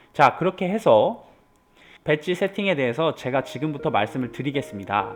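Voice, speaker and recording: A man speaks with vocal fry and very wide swings in pitch. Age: 30s. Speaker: gaming YouTuber. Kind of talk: video game guide narration.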